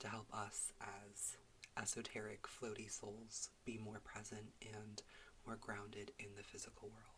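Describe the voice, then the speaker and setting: Whispering at a fairly slow pace, the speaker keeps a relaxed, soothing tone. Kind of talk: casual relaxed talk to camera. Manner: relaxed, soothing, calm.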